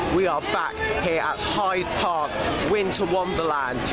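Crowd noise fills the background as a man speaks with ordinary pitch variation, the sound dry with no echo. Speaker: vlogger. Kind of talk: casual vlog chat. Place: market. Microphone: phone near.

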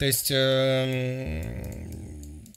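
A man's fairly high voice with a bright, sharp tone against a quiet background. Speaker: streamer and music critic; streamer. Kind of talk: reaction stream commentary. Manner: loud. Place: home room. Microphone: studio mic.

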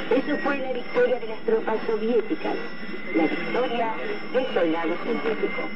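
The speech moves at a moderate pace over loud background noise. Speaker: radio announcer. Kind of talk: 1980s shortwave radio news bulletin and talk, formal scripted reading. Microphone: old recording.

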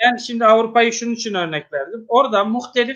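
A man with an extremely high pitch and ordinary pitch variation, against a quiet background. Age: 50s. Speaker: mosque musician and religious official, interview host; interview host. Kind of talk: religious interview talk. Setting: online live broadcast. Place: home room. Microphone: video call.

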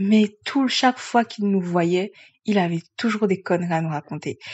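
A woman's medium-pitched voice at a moderate pace. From grew up outside France. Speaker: astrologer. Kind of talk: solo video explainer. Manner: hesitant with frequent fillers.

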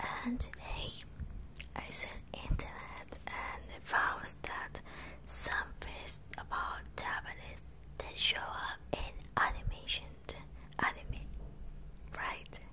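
Whispering at a very slow pace, a woman leaves long, frequent pauses. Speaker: ASMR creator. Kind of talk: ASMR language lesson, whispered teaching. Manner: whispered, soft-spoken. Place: home room. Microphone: handheld.

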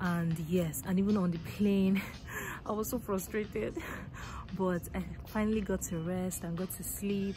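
Somewhat breathy woman's voice at a moderate pace, fairly even intonation, dry sound with no echo and noticeable background noise. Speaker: travel vlogger. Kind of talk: casual vlog chat. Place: station. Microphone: phone near.

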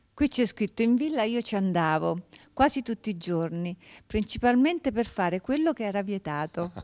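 Against a quiet background, a woman with a fairly high pitch speaks at a moderate pace, her pitch swinging very widely. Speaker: TV talk show host. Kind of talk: interview. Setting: studio. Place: studio. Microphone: handheld.

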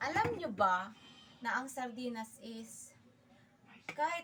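A woman is speaking. Her pace is very slow. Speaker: vlogger. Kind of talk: casual cooking vlog.

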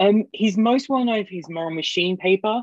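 A man speaks with an English accent and lively intonation. The sound is dry with no echo, over a quiet background. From England. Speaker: seminar host. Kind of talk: seminar moderation. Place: home room. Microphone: earbuds.

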